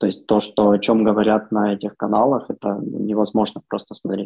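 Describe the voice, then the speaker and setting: A man speaks in a fairly low voice. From Ukraine. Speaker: bank privacy specialist. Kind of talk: remote interview.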